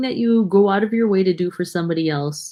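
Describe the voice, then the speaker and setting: This woman has an unremarkable speaking voice with lively intonation and a fairly quick pace. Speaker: mom vlogger co-host. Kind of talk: casual chat.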